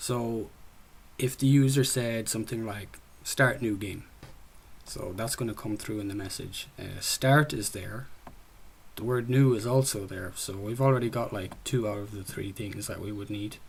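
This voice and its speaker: A man with an Irish accent talks at a moderate pace and medium pitch, somewhat breathy, with fairly even intonation and big swings in loudness. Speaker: student developer presenting a game project. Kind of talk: software project demo presentation. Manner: casual, with frequent fillers.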